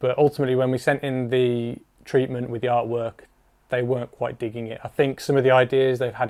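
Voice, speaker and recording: In an English accent, a man with medium pitch talks at a fairly quick pace with monotone, flat intonation. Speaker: music video director. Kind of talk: behind-the-scenes narration. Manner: subdued.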